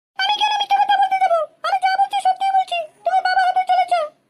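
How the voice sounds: A woman's cartoonish character voice, extremely high in pitch, at a fairly quick pace with fairly even intonation.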